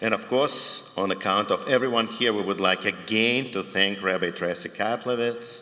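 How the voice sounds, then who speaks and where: There is noticeable background noise as a man talks at a moderate pace with ordinary pitch variation. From Ukraine, Dnipro (former Soviet Union). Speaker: cantor, panel moderator. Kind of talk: prepared opening remarks at a conference.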